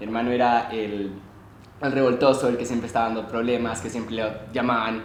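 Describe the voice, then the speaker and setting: A man's voice amid noticeable background noise and audible room echo. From Chile, Santiago. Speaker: student. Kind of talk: podcast interview.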